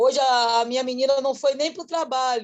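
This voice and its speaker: This woman's voice has a dark, mellow tone. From Salvador, Bahia, Brazil. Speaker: workshop participant, entrepreneur. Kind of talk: casual thank-you remarks.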